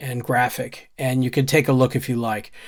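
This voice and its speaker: An unremarkable speaking voice talks at a moderate pace on a very clean recording with a silent background. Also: man. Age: 60s. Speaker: YouTuber and software trainer. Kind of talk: casual commentary reading own newsletter. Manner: conversational.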